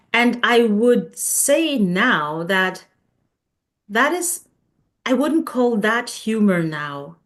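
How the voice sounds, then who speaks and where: Speaking very slowly with long, frequent pauses, a woman uses a fairly high pitch that swings very widely. She has a non-native accent. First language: not English. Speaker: coach. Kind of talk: casual chat.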